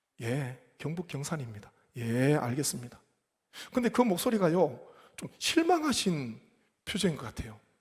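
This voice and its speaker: A man's fairly high, somewhat breathy voice, fairly slow with long, frequent pauses, very wide pitch swings and big swings in loudness. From South Korea, Gyeongsang (Gyeongbuk Gyeongsan). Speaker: pastor. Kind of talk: sermon.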